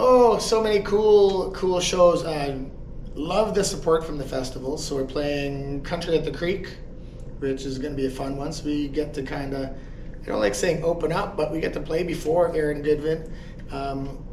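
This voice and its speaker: A man speaks at a moderate pace with a fairly high pitch and ordinary pitch variation, over noticeable background noise and audible room echo. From northern Saskatchewan, Canada. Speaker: country singer and guitarist. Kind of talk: interview.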